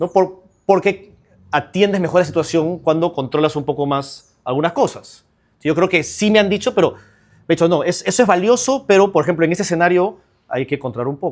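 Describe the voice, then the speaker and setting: With an energetic tone and lively intonation, a man speaks fast-ish at high pitch. The recording is very clean, the background silent. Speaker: trial lawyer. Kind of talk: interview conversation.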